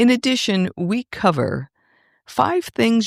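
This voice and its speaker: Pitch swings very widely as a woman speaks at a fairly slow pace. The recording is very clean with a silent background, and the sound is dry and close with no echo. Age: 60s. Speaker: podcast host and wellness coach. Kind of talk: scripted podcast narration.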